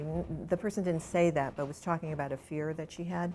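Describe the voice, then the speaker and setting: This woman has an ordinary speaking voice, fairly low in pitch. She talks at a fairly quick pace with ordinary pitch variation. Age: 60s. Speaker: author. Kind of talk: interview.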